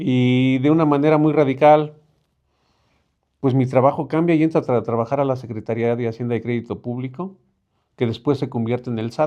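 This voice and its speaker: Speaking at a fairly quick pace yet with long, frequent pauses, a man keeps a medium pitch and fairly even intonation. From Mexico City, Álvaro Obregón. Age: 50s. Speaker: neighborhood representative. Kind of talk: interview. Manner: halting.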